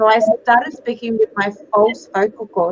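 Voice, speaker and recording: With an Australian accent, a woman speaks at a moderate pace in a fairly high voice, with noticeable background noise behind her. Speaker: psychic medium. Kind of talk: interview. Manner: animated.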